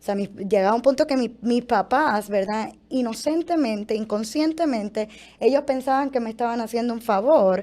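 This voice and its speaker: A woman speaks at a fairly quick pace in a fairly high pitch. Her tone is dark and mellow. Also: very clean recording, silent background. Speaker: former model giving testimony. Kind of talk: testimony.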